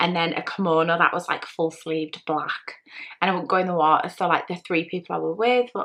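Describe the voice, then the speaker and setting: A woman with an English accent talks at a fairly quick pace in a fairly low voice, her intonation fairly even. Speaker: vlogger. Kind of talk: personal vlog monologue. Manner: fast.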